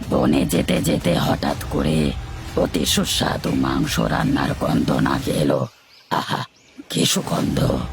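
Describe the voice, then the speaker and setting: A man in a cartoonish character voice with a very deep, low pitch speaks at a fairly slow pace, faint music playing in the background. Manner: grand, stately, self-assured.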